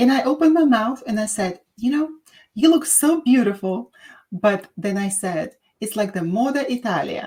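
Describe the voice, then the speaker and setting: Speaking at a moderate pace with a Russian accent, a woman uses a fairly high, somewhat breathy voice with a dark, mellow tone and lively intonation. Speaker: podcast host, doctor. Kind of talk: casual chat.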